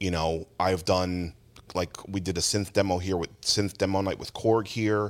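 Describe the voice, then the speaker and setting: The speaker talks at a moderate pace with an American accent. Intonation stays monotone and flat throughout. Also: man. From New Jersey, Jackson (Ocean County). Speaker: music store owner. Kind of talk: casual chat. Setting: inside a music store.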